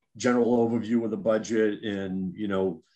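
Music plays in the background as a man talks in a fairly low pitch with fairly even intonation. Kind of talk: meeting discussion, opening questions. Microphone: video call.

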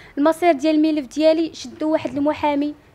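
A woman with a rural Gharb accent speaks at a high pitch and a fairly quick pace. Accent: Moroccan Arabic (Darija), rural Gharb. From Morocco, Kenitra province; Morocco. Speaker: accident survivor, law student. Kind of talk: personal testimony interview. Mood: aggrieved, frustrated. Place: home room. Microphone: handheld.

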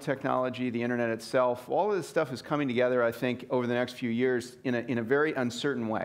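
The background is quiet. A man speaks at a very fast pace. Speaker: keynote speaker. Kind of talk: lecture. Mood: enthusiastic, reflective. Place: hall.

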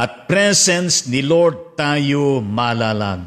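A man at a very slow pace, lively intonation, quiet background. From Philippines. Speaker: pastor; preacher hosting livestream. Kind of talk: sermon. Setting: live stream. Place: studio. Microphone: studio mic.

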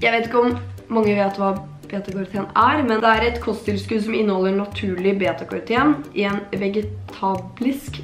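In a room with audible echo and faint music behind, a woman talks at a fairly quick pace with ordinary pitch variation. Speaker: vlogger. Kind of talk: casual vlog chat, sponsored product review. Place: home room. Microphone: camera far.

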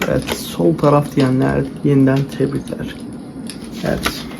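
Very slow speech from a man, noticeable background noise behind it. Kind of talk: ASMR role-play game talking to the viewer. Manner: soft-spoken, calm.

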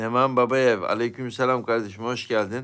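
A man's bright, sharp voice in monotone, flat intonation, in a very clean recording with a silent background. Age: 40s. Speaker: YouTube live streamer. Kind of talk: casual live-stream chat reading viewer comments.

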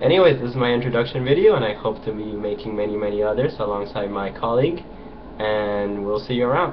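Amid noticeable background noise, a man with a fairly low pitch talks very fast with ordinary pitch variation. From Costa Rica. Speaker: chess grandmaster. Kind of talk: self-introduction video. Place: home room. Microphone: webcam.

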